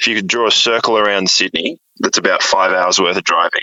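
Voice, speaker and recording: A fairly quick pace from a man with an Australian accent. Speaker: musician. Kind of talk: interview.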